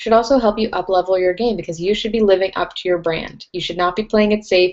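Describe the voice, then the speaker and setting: A woman with an unremarkable speaking voice, fairly quick pace and ordinary pitch variation. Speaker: webinar host, brand strategist. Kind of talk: webinar presentation. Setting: live online webinar.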